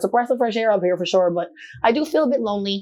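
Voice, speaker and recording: A woman at a very fast pace, animated in tone. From Newfoundland, Canada. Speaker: model and dancer. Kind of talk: casual interview chat. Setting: studio.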